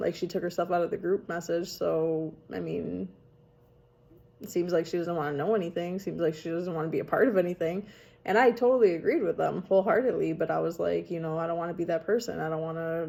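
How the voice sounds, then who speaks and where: Fairly low in pitch, a woman's voice has a dark, mellow tone, vocal fry and ordinary pitch variation. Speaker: vlogger / storyteller on her own channel. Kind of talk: casual talk to camera. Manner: chatty, rambling, conversational.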